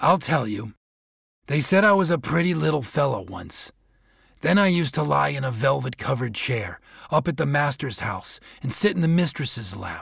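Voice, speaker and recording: A gruff, put-on character voice at a moderate pace. The recording is very clean, with a silent background. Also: man, medium pitch for a man. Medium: read story. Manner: gruff, barking interjections.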